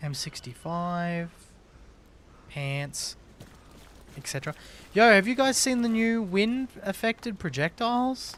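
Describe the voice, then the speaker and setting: A high-pitched man speaks at a fairly slow pace, with long, frequent pauses, very wide pitch swings and big swings in loudness, on a very clean recording with a silent background. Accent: Australian. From Australia. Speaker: gaming streamer. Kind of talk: casual live stream chat. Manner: casual, animated.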